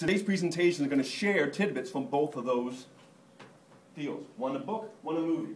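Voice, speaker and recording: Against noticeable background noise, a man speaks at a moderate pace with lively intonation and a fairly high pitch. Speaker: marketing conference speaker. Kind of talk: conference talk. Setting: stage with audience. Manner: humorous.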